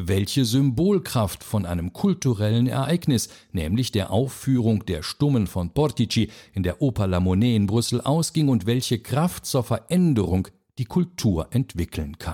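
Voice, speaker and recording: Heard on a very clean recording with a silent background, a man with a dark, mellow tone and medium pitch talks at a fairly slow pace with very wide pitch swings. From Belgium. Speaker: podcast host. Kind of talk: scripted narration. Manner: formal.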